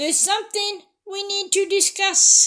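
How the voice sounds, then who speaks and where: At a moderate pace, a woman uses a put-on character voice pitched extremely high. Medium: read story. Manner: bright, curious.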